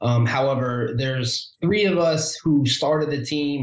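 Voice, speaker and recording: A man speaks in an American accent with ordinary pitch variation, noticeable background noise behind him. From Omaha, Nebraska. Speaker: realtor. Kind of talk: interview conversation.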